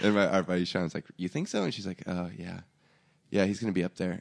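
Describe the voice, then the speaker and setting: In a dry, close sound with no echo and a quiet background, a man with an American accent talks at a very fast pace, his very deep, low pitch showing vocal fry and ordinary pitch variation. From Oregon, US Pacific Northwest. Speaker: podcast host and musician. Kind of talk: casual interview chat. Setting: studio.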